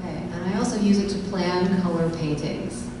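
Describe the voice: The raspy voice moves at a fairly quick pace with ordinary pitch variation. Clear background noise and audible room echo are present. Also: woman, fairly low pitch for a woman.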